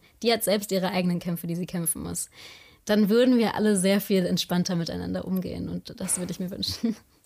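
Speaking at a very fast pace, a woman with a medium-pitched voice sounds somewhat breathy. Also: fairly even intonation. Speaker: podcaster. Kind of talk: casual chat.

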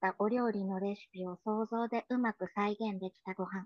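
In a plain, everyday voice, a woman speaks at a fairly slow pace with ordinary pitch variation, the sound dry and close with no echo against a quiet background. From Tokyo, Japan. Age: 40s. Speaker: poet and musician. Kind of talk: poetry reading.

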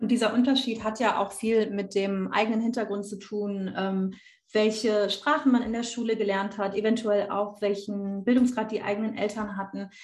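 Somewhat breathy and fairly high-pitched, a woman speaks at a moderate pace in a monotone, flat intonation. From Rhineland, Germany. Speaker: university student. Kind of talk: casual discussion.

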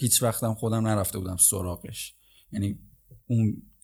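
In a very clean recording with a silent background, a man with a fairly low, somewhat breathy voice speaks at a moderate pace in a monotone, flat intonation. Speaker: podcast host. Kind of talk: casual solo podcast monologue.

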